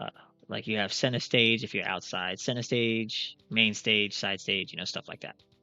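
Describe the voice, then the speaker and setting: Music in the background behind a man's fairly low voice, moderate in pace, with fairly even intonation and big swings in loudness. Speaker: gaming YouTuber. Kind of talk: casual gameplay commentary. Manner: monotone; relaxed, rambling.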